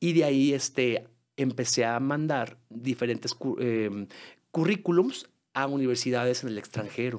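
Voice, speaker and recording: Against a quiet background, a man with a Mexican accent speaks at a fairly slow pace. His voice sits at medium pitch with ordinary variation. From Guadalajara, Mexico. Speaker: musical theatre singer and actor; podcast guest. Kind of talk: podcast interview. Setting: studio. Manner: halting with many fillers. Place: studio. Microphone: studio mic.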